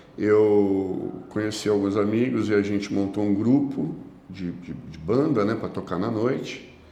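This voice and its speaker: Audible room echo follows a man as he speaks at a very slow pace with a fairly low pitch. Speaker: evangelical preacher, former addict. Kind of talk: testimony in podcast interview.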